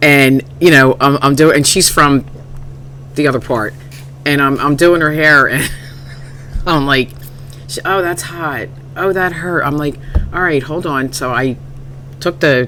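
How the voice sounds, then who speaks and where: Amid noticeable background noise, a woman with a very deep, low voice speaks fairly slowly with fairly even intonation and long, frequent pauses. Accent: American. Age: 60s. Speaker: hair stylist, former DJ. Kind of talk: casual chat.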